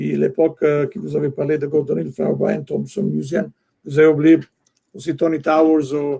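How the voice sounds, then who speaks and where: A man with an Italian accent talks at a moderate pace with a fairly high pitch. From Italy. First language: Italian (speaking French). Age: 60s. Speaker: soccer executive and longtime fan club leader. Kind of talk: podcast interview. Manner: halting, many hesitations.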